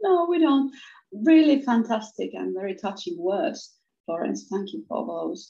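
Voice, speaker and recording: A woman speaks with a Finnish accent. Her loudness swings widely, and her pace is fairly slow. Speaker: business coach. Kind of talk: interview conversation. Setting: video call. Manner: hesitant with repeated words.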